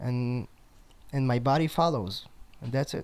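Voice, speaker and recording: The speaker has a strong Israeli accent. The pace is fairly slow. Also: man. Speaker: drummer. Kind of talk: casual interview chat. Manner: halting, many fillers.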